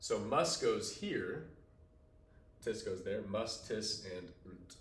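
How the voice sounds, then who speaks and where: Lively in intonation and somewhat breathy, a man talks amid audible room echo. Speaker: teacher. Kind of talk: tutorial.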